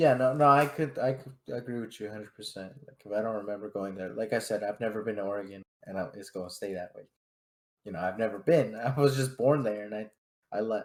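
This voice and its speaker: Talking at a very fast pace, a man uses a fairly low pitch with ordinary pitch variation and big swings in loudness. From California, Fresno. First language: Spanish. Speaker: podcast co-host. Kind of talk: casual chat.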